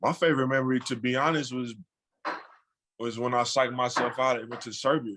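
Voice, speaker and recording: Loud and very fast, a man with a bright, sharp tone speaks at medium pitch with fairly even intonation, breaking often for long pauses. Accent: American. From Chicago, US. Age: 20s. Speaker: professional basketball player. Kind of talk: podcast interview. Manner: halting, filler-heavy.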